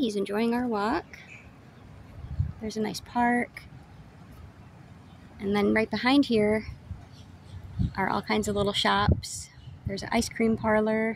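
At a moderate pace, a woman speaks with long, frequent pauses. The sound is dry with no echo, over light background noise. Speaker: sailing vlogger. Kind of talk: casual vlog chat. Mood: calm, pleasant. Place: waterside. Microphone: phone near.

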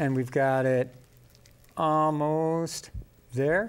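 A man with a clear, smooth tone talks at a very slow pace, his fairly high pitch held in fairly even intonation.

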